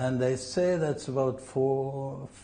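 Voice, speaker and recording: Very slow speech from a man with a Norwegian accent, amid audible room echo and noticeable background noise. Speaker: Norwegian club representative. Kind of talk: interview. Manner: halting.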